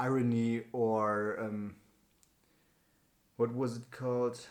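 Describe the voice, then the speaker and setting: The man speaks at a very slow pace. His pitch is medium and his intonation fairly even. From Germany. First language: German or Turkish. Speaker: YouTuber doing speaking challenge. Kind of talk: unscripted talk to camera. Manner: halting, many fillers.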